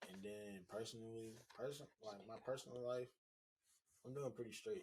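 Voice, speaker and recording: A man talks with fairly even intonation, his voice somewhat breathy. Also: medium pitch for a man, moderate pace. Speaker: co-owner of a small business, podcast guest. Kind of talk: casual chat.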